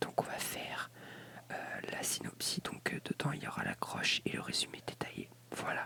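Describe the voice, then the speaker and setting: A whispering voice keeps a moderate pace. Background noise can be clearly heard. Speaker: ASMR creator. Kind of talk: ASMR reading of encyclopedia article. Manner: whispered; soft-spoken, relaxing.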